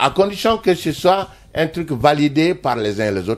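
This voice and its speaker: A man at a fairly slow pace, his pitch swinging very widely. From Mali, Ségou. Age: 60s. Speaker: musician. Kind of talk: interview.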